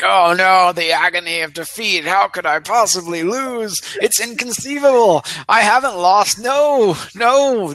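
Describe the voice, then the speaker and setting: A put-on character voice at a middle pitch, over light background noise. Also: moderate pace. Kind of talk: theatrical. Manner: dramatic, ranting.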